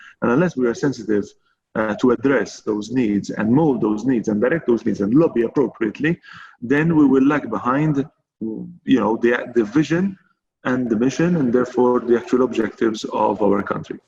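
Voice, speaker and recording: Background music accompanies a man speaking at a moderate pace. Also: medium pitch for a man, ordinary pitch variation. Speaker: chamber of commerce president. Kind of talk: panel discussion. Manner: hesitant, many fillers.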